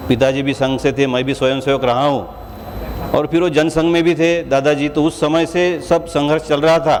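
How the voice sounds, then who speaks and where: Against noticeable background noise, a man with a Marathi accent speaks at a fairly high pitch, with very even loudness and fairly even intonation. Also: moderate pace. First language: Marathi (speaking Hindi). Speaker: state legislator. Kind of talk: formal speech at award ceremony. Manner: formal.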